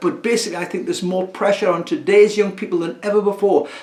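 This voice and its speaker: A man talks with lively intonation at a high pitch. Noticeable background noise is audible behind him. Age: 70s. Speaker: community listening service volunteer. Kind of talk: recorded talk to camera. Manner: halting.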